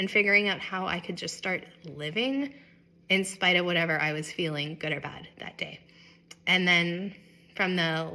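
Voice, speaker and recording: This woman has a bright, sharp tone and a medium pitch. She talks at a moderate pace. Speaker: vlogger sharing illness experience. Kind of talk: personal vlog talk to camera.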